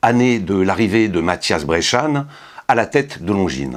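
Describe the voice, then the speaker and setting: A man's pitch swings very widely. He keeps his delivery at a moderate pace. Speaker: watch reviewer. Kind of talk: product review. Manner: hesitant with fillers.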